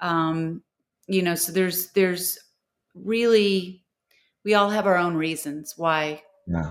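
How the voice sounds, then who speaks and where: A woman with an American accent speaks at a very slow pace, leaving long, frequent pauses. Her pitch is fairly low, and her intonation is fairly even. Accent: Texan, comes out around other Texans. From Texas, Houston. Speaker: TV host and recovery expert, author. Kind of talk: interview, personal recovery story. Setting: recorded podcast interview.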